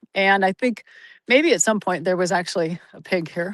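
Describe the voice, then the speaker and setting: Against a quiet background, a woman with a General American accent and an unremarkable speaking voice talks at a moderate pace and medium pitch with lively intonation. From US Pacific Northwest (Oregon). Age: 60s. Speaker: interview guest. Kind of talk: casual interview chat. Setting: outdoors on a forest trail, video call.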